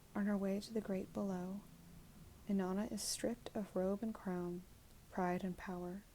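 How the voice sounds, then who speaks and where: A soft-spoken woman whispers at a moderate pace, sounding somewhat breathy. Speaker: ASMR creator. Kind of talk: reading aloud from oracle card guidebook. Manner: soft-spoken, whispered.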